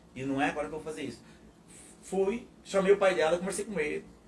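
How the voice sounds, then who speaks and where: A man is speaking. His pace is fairly quick. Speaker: pastor. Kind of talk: testimony. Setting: live podcast.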